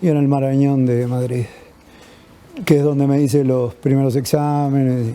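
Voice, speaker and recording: A fairly high-pitched male voice in a flat monotone at a moderate pace, with long, frequent pauses, audible room echo and noticeable background noise. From Uruguay. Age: 60s. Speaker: patient activist awaiting lung transplant. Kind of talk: personal testimony.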